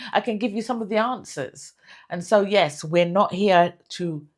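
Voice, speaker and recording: Over a silent background in a very clean recording, a woman speaks with ordinary pitch variation. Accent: British. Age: 60s. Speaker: lifestyle vlogger. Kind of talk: motivational talk to camera. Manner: halting, many fillers and repeats.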